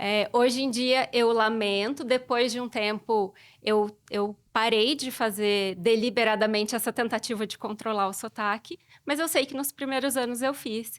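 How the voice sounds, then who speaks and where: A woman speaks at a fairly slow pace, her fairly high pitch varying in an ordinary way. The recording is very clean, with a silent background. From southern Minas Gerais, Brazil. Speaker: Portuguese teacher. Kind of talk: podcast interview.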